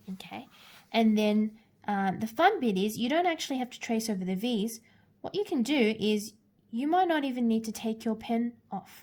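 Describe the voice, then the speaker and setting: A woman's somewhat breathy voice rises to a fairly high pitch with lively intonation. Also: moderate pace. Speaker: art teacher. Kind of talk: tutorial. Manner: hesitant fillers.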